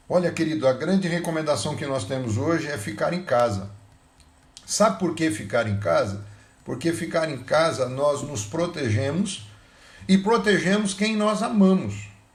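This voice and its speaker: A man with a fairly high pitch speaks at a fairly slow pace with very wide pitch swings. Audible room echo can be heard. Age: 60s. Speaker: pastor. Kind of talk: sermon.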